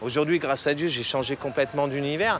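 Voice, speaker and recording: A man talks in a fairly high register, and noticeable background noise can be heard. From Paris, 18th arrondissement. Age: 40s. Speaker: former drug addict giving testimony. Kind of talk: testimony. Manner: hesitant, many fillers and repetitions.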